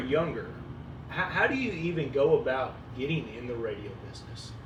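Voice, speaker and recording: Audible room echo and noticeable background noise surround the recording. A man talks at a moderate pace with lively intonation. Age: 20s. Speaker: podcast co-host. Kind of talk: casual chat.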